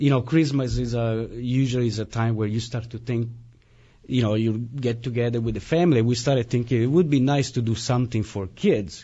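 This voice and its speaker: A man with a slight Italian accent speaks at medium pitch and a fairly quick pace. His voice is somewhat breathy, and his intonation stays fairly even. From Italy, Turin. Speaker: musician. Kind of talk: radio interview. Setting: radio studio.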